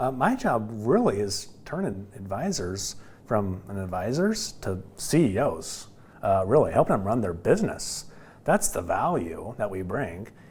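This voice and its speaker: Audible room echo around a man speaking at a fairly slow pace. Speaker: business development director at a financial services firm. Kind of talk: podcast interview. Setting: studio. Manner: loud; animated.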